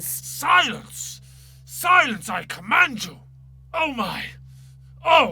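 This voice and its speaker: Using a put-on character voice, a man projects in a high, raised, pompous tone, speaking very slowly with long, frequent pauses. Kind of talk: dramatic reading. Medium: read story. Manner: pompous, grunting, domineering.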